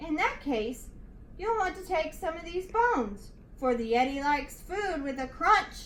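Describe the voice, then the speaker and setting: A woman talks at a moderate pace in a put-on character voice of extremely high pitch. Clear background noise is present. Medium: read story. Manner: indignant, growly.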